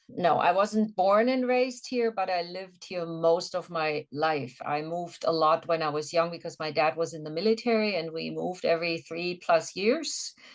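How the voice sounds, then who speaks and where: With a German accent, a woman speaks at a moderate pace in a fairly low voice, with ordinary pitch variation, hardly any pauses, and noticeable background noise. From Germany (Swabia, southern Germany). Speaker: yoga instructor, massage therapist and former nurse. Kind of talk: interview conversation.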